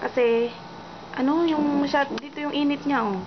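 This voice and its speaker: Someone soft-spoken talks at a moderate pace against noticeable background noise. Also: woman. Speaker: vlogger. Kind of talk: casual vlog talk.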